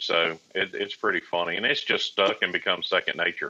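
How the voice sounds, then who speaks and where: A man with a Southern US accent at a fairly quick pace. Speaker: private pilot. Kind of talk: casual chat.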